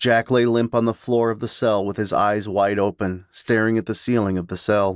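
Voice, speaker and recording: An unremarkable speaking voice from a man, fairly low in pitch, at a moderate pace with fairly even intonation, dry and close with no echo, over a quiet background. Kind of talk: dramatic horror audiobook narration. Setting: audiobook sample. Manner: suspenseful, hushed and menacing, with voices for characters.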